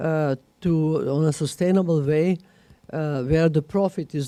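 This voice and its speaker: A woman speaks with a dark, mellow tone at a fairly low pitch, and her pitch varies in an ordinary way. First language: not English, not Russian. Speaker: management school director. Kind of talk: panel discussion. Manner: halting, many fillers.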